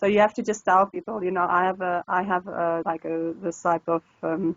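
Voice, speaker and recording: A woman with a northern South African accent talks at a moderate pace in a medium pitch, her intonation fairly even. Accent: northern Afrikaans. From South Africa, northern Pretoria area. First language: Afrikaans. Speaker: online language tutor. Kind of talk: casual interview. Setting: video call. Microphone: crackly Skype connection.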